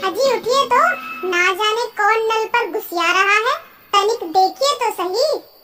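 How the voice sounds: A woman does a cartoonish character voice at an extremely high pitch, with a fairly slow pace, very even loudness and music in the background.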